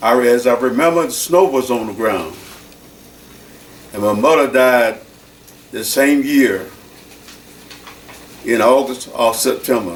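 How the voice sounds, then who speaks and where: Speaking at a fairly slow pace with long, frequent pauses, a man is heard through audible room echo and noticeable background noise. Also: medium pitch for a man, ordinary pitch variation. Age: 80s+. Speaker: church deacon. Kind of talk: oral history interview.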